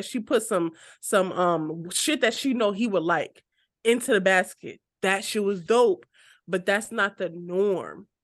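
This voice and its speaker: With a plain, everyday voice, a woman of medium pitch talks at a fairly slow pace with lively intonation over a quiet background. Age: 20s. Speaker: podcast co-host. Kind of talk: casual chat.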